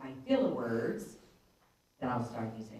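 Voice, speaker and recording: A woman with an American accent, heard with audible room echo. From Pittsburgh, Pennsylvania. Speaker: conference speaker. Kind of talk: conference talk. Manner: loud; varied pitch.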